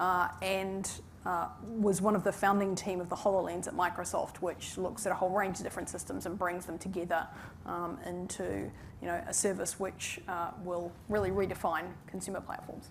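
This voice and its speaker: A woman's medium-pitched voice with a strong New Zealand accent, moderate pace and monotone, flat intonation, with audible room echo and music in the background. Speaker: tech executive. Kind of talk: panel discussion.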